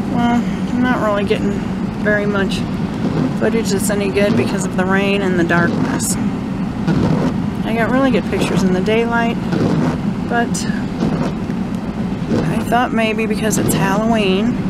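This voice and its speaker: Long, frequent pauses break up a woman's speech, recorded dry with no echo against loud background noise. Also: moderate pace. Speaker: local video host. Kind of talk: casual vlog commentary. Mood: wistful, a little spooky. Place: car. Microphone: phone near.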